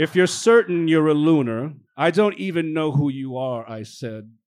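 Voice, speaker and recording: A man with an American accent and an unremarkable speaking voice, at a moderate pace with ordinary pitch variation. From the Bronx, New York. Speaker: novelist. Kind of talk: reading aloud. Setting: stage with audience.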